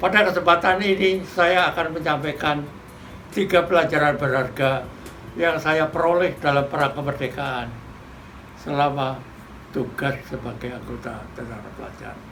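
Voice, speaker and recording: The speech moves at a moderate pace with ordinary pitch variation and big swings in loudness, over noticeable background noise and audible room echo. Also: man, fairly high pitch for a man. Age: 80s+. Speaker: war veteran. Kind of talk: commemorative speech. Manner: formal.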